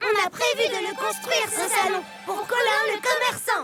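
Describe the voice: A cartoonish character voice pitched extremely high, with faint music playing in the background. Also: moderate pace.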